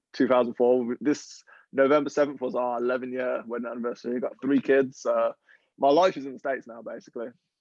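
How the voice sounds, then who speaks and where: A man with an American accent at a very fast pace, medium pitch and fairly even intonation. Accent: English accent becoming slightly American. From England. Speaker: professional footballer. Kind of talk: podcast interview.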